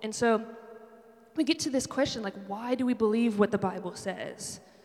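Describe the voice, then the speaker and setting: Noticeable background noise sits under a woman speaking at a fairly quick pace with fairly even intonation. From Buffalo, New York. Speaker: campus ministry director and worship leader. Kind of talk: sermon. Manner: casual, conversational with many fillers.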